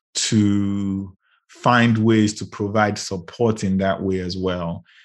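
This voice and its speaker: A man's fairly low, monotone, flat voice at a very slow pace against a quiet background. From Nigeria (Lagos). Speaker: startup founder and CEO. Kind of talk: interview. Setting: podcast interview.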